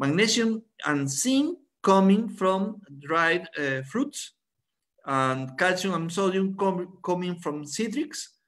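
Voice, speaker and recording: A high-pitched man's voice with a Spanish accent. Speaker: biologist, head of a company's science department. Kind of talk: product presentation. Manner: halting.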